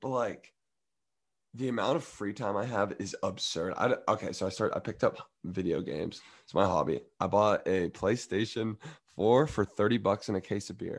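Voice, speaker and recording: On a very clean recording with a silent background, a man speaks in an unremarkable speaking voice at a moderate pace. His pitch is fairly low, with ordinary pitch variation and big swings in loudness. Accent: American. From US South. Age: 20s. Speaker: college student athlete. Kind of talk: casual chat.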